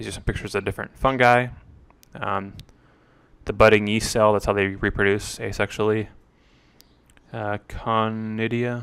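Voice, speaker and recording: A man speaks with monotone, flat intonation and fairly low pitch at a moderate pace. His loudness swings widely, and long pauses come often. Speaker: student. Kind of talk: study review talk. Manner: hesitant, many fillers.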